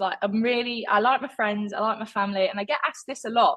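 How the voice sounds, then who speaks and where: A woman speaks with an East Midlands accent. Her tone is animated and her pace fairly quick. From England, Leicester (East Midlands). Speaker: artist, former competitive swimmer. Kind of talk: casual interview chat. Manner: animated, chatty with many fillers.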